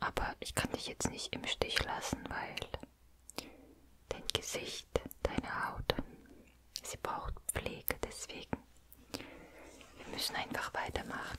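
A woman whispers at a very slow pace. Long pauses come often. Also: big swings in loudness. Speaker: ASMR creator. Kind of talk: soft-spoken ASMR roleplay. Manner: soft, intimate close-mic voice. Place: home room. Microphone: studio mic.

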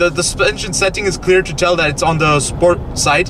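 The voice moves at a moderate pace in a dry sound with no echo, over noticeable background noise. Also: man. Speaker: car reviewer. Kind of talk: casual review commentary. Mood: playful, upbeat. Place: car. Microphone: camera far.

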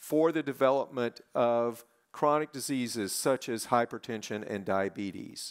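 The pace of this man's talk is fairly slow. Behind him, everything is quiet. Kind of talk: welcoming speech. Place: stage. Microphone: headset.

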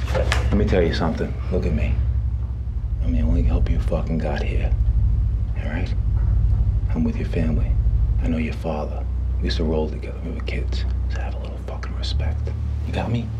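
The speech comes at a fairly quick pace. Noticeable background noise runs underneath. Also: man. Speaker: actor playing a detective. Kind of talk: acted dialogue, intimidating. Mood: menacing, confrontational. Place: empty room.

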